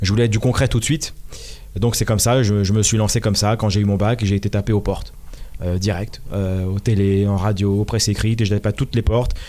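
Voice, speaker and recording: Talking at a very fast pace, a man with a fairly low pitch and a dark, mellow tone keeps a monotone, flat intonation and very even loudness. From Paris region, France (Hauts-de-Seine). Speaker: football commentator. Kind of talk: interview.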